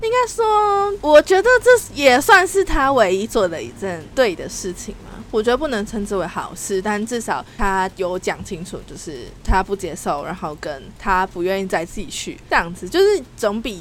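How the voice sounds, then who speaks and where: With music in the background, a woman talks at a moderate pace with hardly any pauses and big swings in loudness. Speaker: podcast co-host. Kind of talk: casual chat. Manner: animated.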